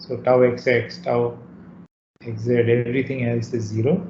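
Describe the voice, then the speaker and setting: A man is speaking. There is light background noise and audible room echo. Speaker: university lecturer. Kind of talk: lecture. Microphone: video call.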